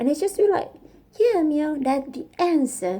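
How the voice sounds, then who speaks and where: A woman with a Thai accent, a high voice of dark, mellow tone, and very wide pitch swings. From Thailand. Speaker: vlogger and coder learning English. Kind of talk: casual personal vlog monologue. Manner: halting, searching for words.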